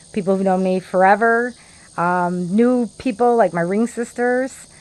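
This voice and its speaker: Against a quiet background, a woman with a Chicago accent speaks at a moderate pace with ordinary pitch variation. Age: 50s. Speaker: vlogger. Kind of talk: casual monologue.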